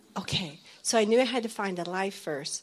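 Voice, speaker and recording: A woman's plain, everyday voice at a moderate pace, with ordinary pitch variation. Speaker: military wife. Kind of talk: testimony.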